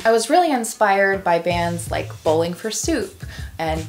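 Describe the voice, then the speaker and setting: Music plays behind the woman as she talks. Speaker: vlogger. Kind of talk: casual vlog chat. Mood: playful, reflective. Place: home room.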